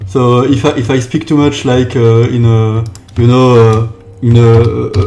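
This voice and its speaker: There is noticeable background noise and audible room echo as a man speaks at a medium pitch with ordinary pitch variation. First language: not English. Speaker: game developer. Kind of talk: live stream chat. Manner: halting.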